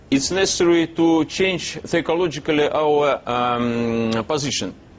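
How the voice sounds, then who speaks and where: Over noticeable background noise, a man with a Russian accent speaks at a fairly slow pace, his fairly high pitch showing ordinary variation. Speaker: businessman. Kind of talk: TV interview. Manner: halting.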